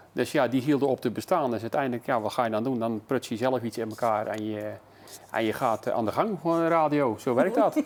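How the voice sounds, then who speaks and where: A man's fairly quick speech, with ordinary pitch variation, comes through on a very clean recording with a silent background. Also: medium pitch for a man. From Netherlands, Zeeland (Terneuzen). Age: 60s. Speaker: local radio presenter. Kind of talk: casual interview. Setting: tv studio. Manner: halting, many fillers.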